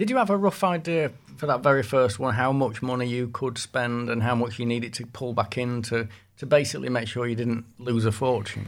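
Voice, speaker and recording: In a very clean recording with a silent background, a man with a Yorkshire accent talks at a fairly quick pace, medium in pitch, with ordinary pitch variation. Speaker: music journalist, podcast host. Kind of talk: casual interview chat.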